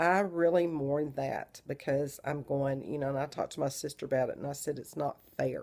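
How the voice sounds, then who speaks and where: A woman with a Southern US accent, her very deep, low pitch and fairly even intonation running on with hardly any pauses. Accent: Southern drawl. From Texas. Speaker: vlogger. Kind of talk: casual video diary.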